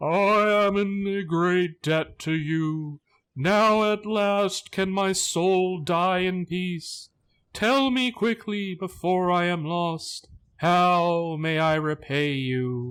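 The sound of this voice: A very slow, shaky, put-on character voice from a man, pitched high.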